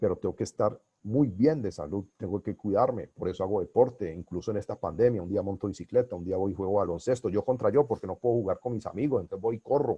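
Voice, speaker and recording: Talking at a very fast pace, a man has a dark, mellow tone that is somewhat breathy, ordinary pitch variation, and a dry, close sound with no echo. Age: 60s. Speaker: business coach and consultant. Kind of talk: webinar lecture. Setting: online webinar.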